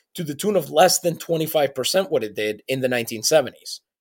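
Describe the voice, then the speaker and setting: In a very clean recording with a silent background, a man with a slight Puerto Rican accent speaks at a fairly high pitch. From Puerto Rico, San Juan. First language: Spanish. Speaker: podcast co-host. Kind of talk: casual chat.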